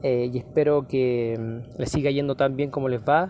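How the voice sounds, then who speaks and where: A man speaks in a medium pitch at a fairly slow pace. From Chile, Valparaíso. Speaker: musician and teacher. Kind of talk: interview testimony. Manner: hesitant, frequent fillers.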